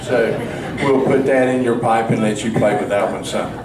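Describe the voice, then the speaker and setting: Noticeable background noise sits under audible room echo. The delivery keeps a moderate pace. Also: man. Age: 70s. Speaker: political candidate. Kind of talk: candidate forum speech. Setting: candidate forum with audience.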